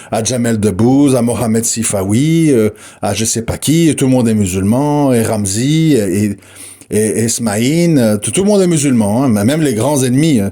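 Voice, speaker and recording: With a dark, mellow tone, a man speaks at a moderate pace and medium pitch, using ordinary pitch variation. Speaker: Islamic preacher. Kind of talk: religious audio lecture. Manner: repetitive, emphatic.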